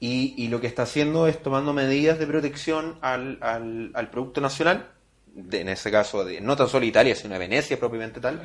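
A man with a Chilean accent at a fairly quick pace, ordinary pitch variation and a quiet background. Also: medium pitch for a man. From Chile, Santiago area. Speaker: podcast host. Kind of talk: casual interview chat.

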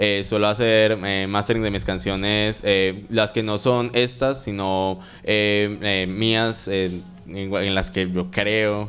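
A normal speaking voice is heard with fairly even intonation. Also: man. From Colombia, Medellín. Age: 20s. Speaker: reggaeton singer. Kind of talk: interview.

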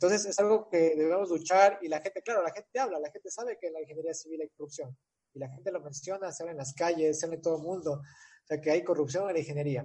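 A man talks at a very fast pace with hardly any pauses, in a fairly high pitch. His pitch variation is ordinary, while his loudness swings widely. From Ecuador. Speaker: civil engineer. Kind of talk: interview. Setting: video call.

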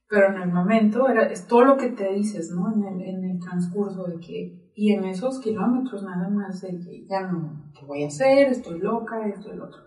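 A woman speaks at a medium pitch and moderate pace with hardly any pauses and ordinary pitch variation. Her loudness swings widely, and noticeable background noise is present. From Mexico, Sonora (Nogales). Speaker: marathon runner and health practitioner. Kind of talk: interview conversation. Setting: studio.

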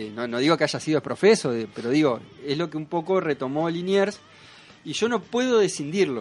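An unremarkable speaking voice belongs to a man pitched fairly high. His intonation is lively, and his pace is moderate. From Argentina (Paraná, Entre Ríos). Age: 40s. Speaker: cartoonist. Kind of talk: interview. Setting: studio.

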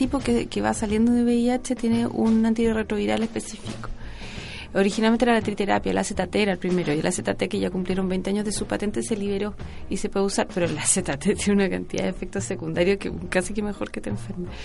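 Over music in the background, a woman with a Chilean accent speaks at a medium pitch and a fairly quick pace, with very wide pitch swings. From southern Chile, Osorno. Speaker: journalist. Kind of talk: radio interview.

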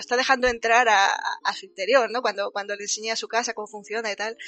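A woman talks at a very fast pace in a fairly high pitch. Her intonation stays fairly even. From Andalusia. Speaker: livestream host. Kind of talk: casual chat. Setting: livestream.

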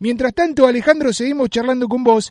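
At a very fast pace, a man talks with an extremely high pitch and ordinary pitch variation. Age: 30s. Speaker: radio host. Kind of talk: radio interview.

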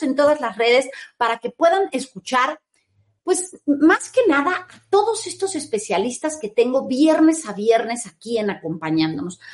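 The pitch swings very widely. The pace stays moderate. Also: woman. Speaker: internet radio show host. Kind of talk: live talk show interview. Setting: live video stream.

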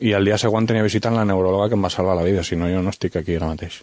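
With typical pitch movement, a man talks extremely quickly. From Valencian Community (Vinaròs), raised in Catalonia. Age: 30s. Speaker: author and wheelchair user. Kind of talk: radio interview.

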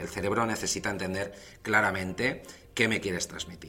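A man speaks at a fairly quick pace, his pitch very deep and low. His tone is bright and sharp, and audible room echo surrounds it. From Valencia, Spain. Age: 40s. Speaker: communication coach. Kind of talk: lecture.

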